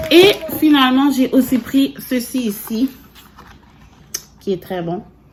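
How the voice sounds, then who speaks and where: Noticeable background noise sits under a woman who speaks at a very slow pace. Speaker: family vlogger. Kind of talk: casual vlog talk. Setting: at home at night. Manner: whispering.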